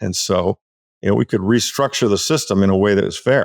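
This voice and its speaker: A male speaker goes at a very fast pace. His sound is dry and close, with no echo. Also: quiet background. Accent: American. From United States. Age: 60s. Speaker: author and Bitcoin advocate. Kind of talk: interview. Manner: halting, many repetitions and fillers.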